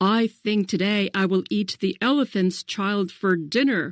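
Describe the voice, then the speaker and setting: In a put-on character voice with hissing, a woman speaks at a moderate pace and medium pitch on a very clean recording with a silent background. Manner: menacing, hissing.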